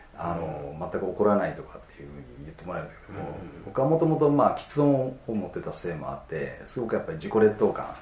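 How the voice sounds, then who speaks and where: A man talks very fast at a fairly low pitch, with very wide pitch swings and big swings in loudness. Noticeable background noise and audible room echo surround him. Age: 40s. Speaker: osteopath clinic director. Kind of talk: interview.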